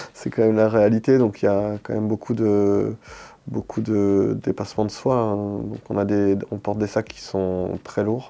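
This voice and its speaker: A man's fairly low, dark and mellow voice at a moderate pace over a quiet background. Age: 40s. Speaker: paralympic shooter, former army sniper. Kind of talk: interview. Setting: studio. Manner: hesitant, many fillers.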